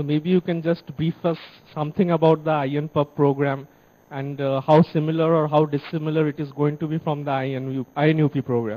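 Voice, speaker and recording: His tone is dark and mellow, his pitch fairly high, and his intonation monotone and flat. This man moves at a fairly quick pace. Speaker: remote center coordinator. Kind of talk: formal feedback speech. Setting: video link from remote center. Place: classroom. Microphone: handheld.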